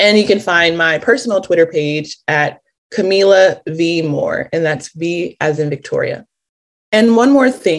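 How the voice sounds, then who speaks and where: Someone with an American accent talks at a fairly slow pace in a normal speaking voice. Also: woman, medium pitch for a woman. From Los Angeles, California. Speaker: reparations task force member. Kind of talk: interview.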